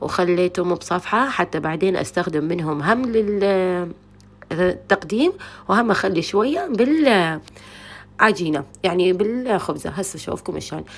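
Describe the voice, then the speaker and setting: With lively intonation, a woman talks at a moderate pace. Her pitch is medium. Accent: Iraqi. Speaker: cooking channel host. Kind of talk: cooking tutorial. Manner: casual, chatty.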